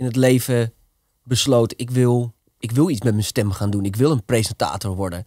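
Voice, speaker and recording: Against a quiet background, a man talks in a normal speaking voice at a moderate pace with ordinary pitch variation, the sound dry with no echo. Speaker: podcast host. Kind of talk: casual interview. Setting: studio. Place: studio. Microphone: studio mic.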